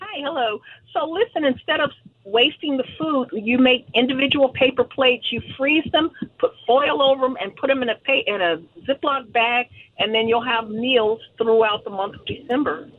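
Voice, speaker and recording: Over noticeable background noise, a woman with an American accent speaks at a moderate pace. Her high-pitched voice has lively intonation. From Los Angeles. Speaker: caller. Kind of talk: call-in radio chat. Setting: phone call.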